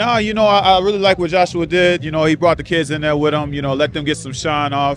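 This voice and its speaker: Faint music plays in the background of a dry sound with no echo. A man speaks with ordinary pitch variation. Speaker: interviewee. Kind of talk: interview answer. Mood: relaxed, confident. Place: stadium. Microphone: handheld.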